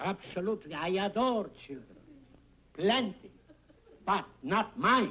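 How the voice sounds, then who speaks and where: A man's raised, projected voice with an Italian accent, high in pitch, bright and sharp in tone, with lively intonation, a fairly slow pace and long, frequent pauses. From Italy, Bologna. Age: 70s. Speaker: game show contestant. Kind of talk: game show banter.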